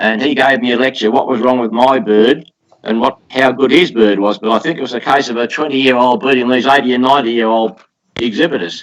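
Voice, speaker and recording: Very fast speech from a man with an Australian accent and ordinary pitch variation. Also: medium pitch for a man. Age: 80s+. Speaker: poultry exhibitor. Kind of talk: interview answer.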